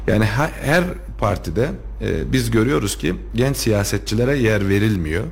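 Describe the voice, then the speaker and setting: With audible room echo and noticeable background noise, a man talks at a fairly slow pace and very even loudness. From Turkey, Kayseri (Tomarza). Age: 30s. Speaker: lawyer and local politician. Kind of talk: radio interview. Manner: hesitant, many filler sounds.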